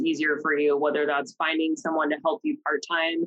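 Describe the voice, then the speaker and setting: A woman with an American accent. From Oregon, US. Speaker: self-employed marketing consultant. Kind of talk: casual interview. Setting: studio.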